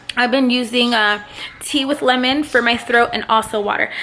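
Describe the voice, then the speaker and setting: A woman with a high voice speaks at a moderate pace and fairly even intonation over noticeable background noise. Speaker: vlogger and online English teacher. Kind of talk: casual vlog. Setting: at home.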